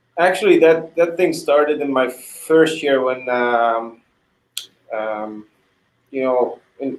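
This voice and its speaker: Pausing long and often, a man with a Hungarian accent speaks very slowly in a fairly high voice with ordinary pitch variation. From Hungary. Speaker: retired hockey goalie. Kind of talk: interview. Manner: halting, many repetitions.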